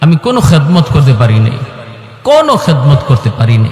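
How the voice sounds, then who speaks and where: A man's fairly high-pitched voice with a tearful tone, over noticeable background noise. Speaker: Islamic preacher giving a waz sermon. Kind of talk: religious sermon (waz) to an audience. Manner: storytelling, retelling a narrative, tearful and emotional.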